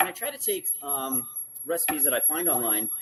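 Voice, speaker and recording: A man with a fairly high voice speaks against noticeable background noise. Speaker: cooking show host. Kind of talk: live cooking demonstration. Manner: casual, with filler words.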